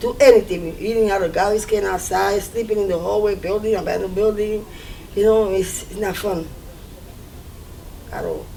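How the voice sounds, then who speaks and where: In a recording with audible room echo and noticeable background noise, a woman speaks at a moderate pace with long, frequent pauses. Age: 50s. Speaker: recovering addict in treatment. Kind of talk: documentary interview testimony.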